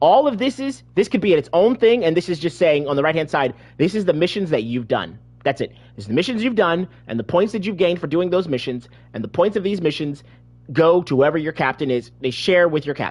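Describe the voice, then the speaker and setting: A man talks loudly at a fairly quick pace. His pitch is high and swings very widely. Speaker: gaming video creator. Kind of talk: gameplay tutorial. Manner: halting, many repetitions.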